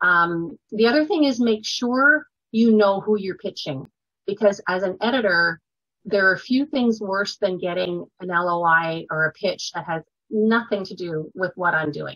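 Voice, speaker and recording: An unremarkable speaking voice, a woman at medium pitch with a Canadian accent and lively intonation, over a quiet background. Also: fairly slow pace. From Quebec, Canada. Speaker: nurse and health writer; interview guest. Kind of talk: interview. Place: home room. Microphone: webcam.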